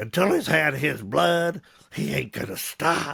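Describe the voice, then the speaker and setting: A man puts on a raspy character voice with a Southern US accent, pitched fairly high. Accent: Southern American. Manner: drawling.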